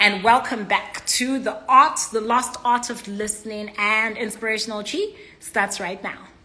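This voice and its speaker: A woman speaks at a fairly slow pace with fairly high pitch and fairly even intonation. Noticeable background noise is present. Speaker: inspirational speaker. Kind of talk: livestream greeting viewers. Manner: loud.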